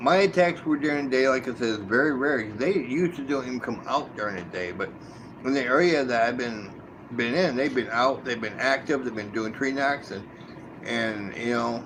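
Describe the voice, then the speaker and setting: A man speaks at a moderate pace with medium pitch and ordinary pitch variation. Noticeable background noise and audible room echo fill the recording. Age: 60s. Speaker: live streamer, cryptid hunter. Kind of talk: live stream monologue. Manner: halting, with many repetitions.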